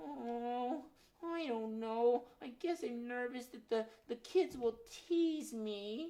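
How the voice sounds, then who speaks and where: A woman uses a put-on character voice, pitched high. She speaks at a very slow pace. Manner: shy, nervous, sweet.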